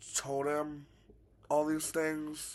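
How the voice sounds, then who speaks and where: A man amid audible room echo. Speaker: YouTuber. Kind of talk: storytime vlog. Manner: halting, repeated words.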